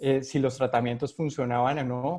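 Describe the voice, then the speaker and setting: This man has a Colombian accent and a medium pitch. He speaks at a moderate pace with a monotone, flat intonation. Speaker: epidemiologist, physician. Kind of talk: interview. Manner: halting, many fillers.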